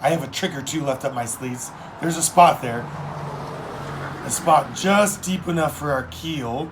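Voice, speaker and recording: A man's put-on character voice, raspy and fairly high, at a moderate pace with long, frequent pauses over clear background noise. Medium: read story. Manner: commanding, confident.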